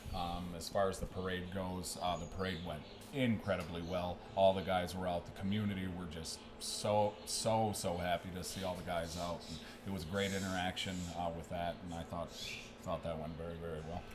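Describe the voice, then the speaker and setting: With a Michigan accent, a man of very deep, low pitch speaks at a moderate pace in a flat monotone, with audible room echo and music in the background. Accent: Michigan accent, noticeable. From Michigan, US Midwest. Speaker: strength and conditioning coach. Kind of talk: podcast interview. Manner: halting, many fillers.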